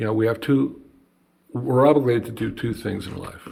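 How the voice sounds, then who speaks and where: With an American accent, a man speaks in a somewhat breathy voice at a fairly slow pace. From New Jersey. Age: 60s. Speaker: banjo maker and artist. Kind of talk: casual chat.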